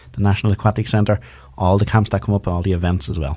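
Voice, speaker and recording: A man with a Dublin accent speaks at a very fast pace. His dark, mellow voice is somewhat breathy. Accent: Dublin Irish. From Ireland, north Dublin. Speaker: community radio co-host. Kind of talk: casual radio chat. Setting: radio studio.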